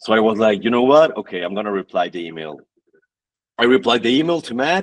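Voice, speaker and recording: A man speaks at a medium pitch and a very fast pace, his loudness swinging widely and his pitch leaping across a very wide range. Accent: Mexican. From northern Mexico (Tijuana, then Monterrey). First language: Spanish. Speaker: fitness athlete and influencer. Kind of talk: podcast interview, personal story. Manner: halting, repeats words.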